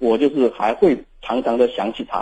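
A man speaks with a southern Jiangsu-Zhejiang accent in a dark, mellow tone. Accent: Mandarin with southern Jiangsu-Zhejiang tint. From Shaanxi. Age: 20s. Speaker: caller. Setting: phone call.

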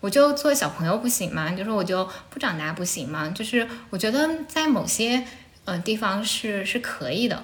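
Pitch swings very widely at a moderate pace, with audible room echo and noticeable background noise. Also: woman, fairly high pitch for a woman. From Anhui, Shucheng (Lu'an). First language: Anhui dialect (Jianghuai Mandarin) (speaking Chinese). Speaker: podcast host. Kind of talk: casual chat. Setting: at home, sitting on the floor.

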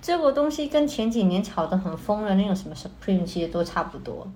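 Very wide pitch swings mark this fairly quick speech, heard over noticeable background noise. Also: woman. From Hong Kong. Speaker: art student. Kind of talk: casual chat.

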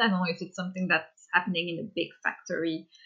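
Here a woman speaks at a medium pitch in a Quebec accent. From Quebec, Canada. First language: French. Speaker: children's book illustrator. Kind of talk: interview. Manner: halting.

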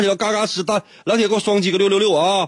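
In an animated tone, a man speaks at a high pitch. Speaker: radio host. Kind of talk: casual radio talk with listener quiz. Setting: radio studio.

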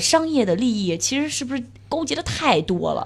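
A high-pitched woman at a fairly quick pace, with very wide pitch swings. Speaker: cycling podcast host. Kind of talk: casual chat.

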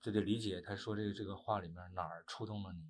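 Somewhat breathy, the man speaks with fairly low pitch and fairly even intonation. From Northeast China. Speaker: actor. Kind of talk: interview. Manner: halting.

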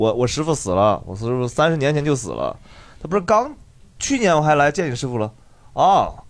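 Speaking at a fairly quick pace, a man with a fairly high pitch uses lively intonation and an animated tone. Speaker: comedian, podcast host. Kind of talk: casual chat.

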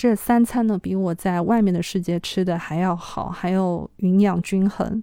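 Her voice has a dark, mellow tone and a medium pitch. This woman speaks at a fairly slow pace with hardly any pauses. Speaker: podcast host. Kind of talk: solo podcast monologue. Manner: hesitant, many filler sounds.

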